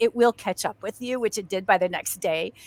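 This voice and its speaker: The tone is bright and sharp. The recording is very clean, with a silent background and a dry, close sound with no echo. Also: woman. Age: 60s. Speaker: actress and stuntwoman. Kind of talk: casual chat. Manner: halting.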